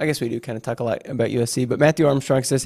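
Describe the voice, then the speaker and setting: At a very fast pace, the voice comes across dark and mellow in tone and somewhat breathy. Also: man. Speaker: show producer reading chat. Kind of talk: casual chat.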